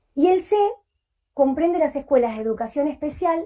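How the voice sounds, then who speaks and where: A woman speaks at a moderate pace with lively intonation. Her tone is dark and mellow. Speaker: early intervention teacher at a hospital school. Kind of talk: conference presentation.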